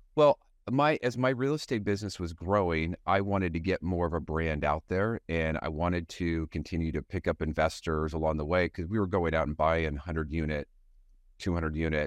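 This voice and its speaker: Here a man speaks with a very deep, low pitch and ordinary pitch variation. His pace is fairly quick, and the background is quiet. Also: dry, close sound with no echo. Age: 50s. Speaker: sales leader and podcast host. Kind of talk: casual interview chat.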